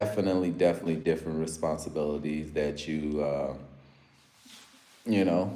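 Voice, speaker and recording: With an American accent and a very deep, low pitch, a man speaks at a moderate pace amid audible room echo. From US, Africa-born. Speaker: live streamer. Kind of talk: casual live stream chat. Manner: animated.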